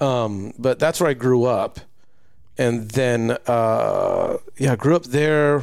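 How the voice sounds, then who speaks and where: A man with an American accent, medium pitch and ordinary pitch variation, very slow pace and very even loudness. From US West Coast (Southern California, Lakewood/Bellflower). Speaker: podcast host. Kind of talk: solo podcast monologue; casual chat. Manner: halting, many fillers.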